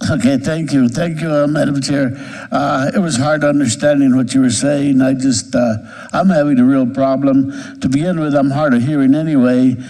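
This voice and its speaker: Over noticeable background noise and audible room echo, a man speaks at a moderate pace and fairly high pitch with fairly even intonation. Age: 70s. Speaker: state legislator. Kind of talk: committee hearing remarks.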